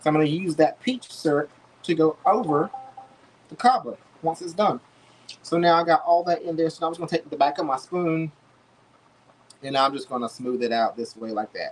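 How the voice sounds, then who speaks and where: The intonation is lively. Long pauses come often. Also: man. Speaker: home cook livestreamer. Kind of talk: cooking livestream. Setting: home kitchen. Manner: fast; casual, chatty.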